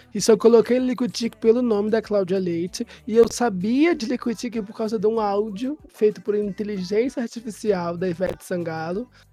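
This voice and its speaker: Noticeable background noise runs under the speech. The speaker hardly pauses at all. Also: woman, fairly high pitch for a woman, ordinary pitch variation, moderate pace. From Nilópolis, Rio de Janeiro. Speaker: podcast host. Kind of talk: casual chat.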